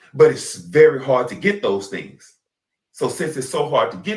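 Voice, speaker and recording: An animated man with a Southern US accent talks at a moderate pace. His medium-pitched voice has vocal fry. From US South. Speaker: podcast host. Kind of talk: casual chat.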